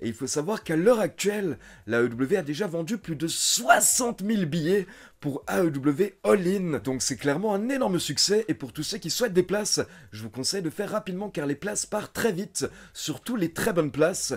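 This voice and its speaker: The man speaks at a moderate pace. His pitch swings very widely. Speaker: wrestling news youtuber. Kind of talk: news commentary. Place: home room.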